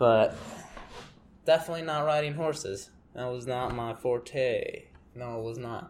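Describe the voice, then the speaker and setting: A mumbling man at medium pitch, fairly slow, with ordinary pitch variation, big swings in loudness and long, frequent pauses. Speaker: podcaster. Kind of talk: casual monologue.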